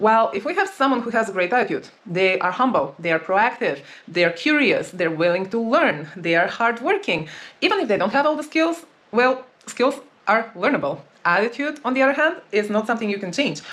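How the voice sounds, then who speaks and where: A woman with a non-native accent speaks fairly quickly at a fairly high pitch, with very wide pitch swings. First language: not English. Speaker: dating and relationship coach. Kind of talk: advice monologue.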